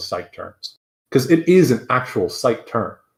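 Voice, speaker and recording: A man speaks with vocal fry. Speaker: YouTuber. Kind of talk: heated debate. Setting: live stream call. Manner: shaky; halting.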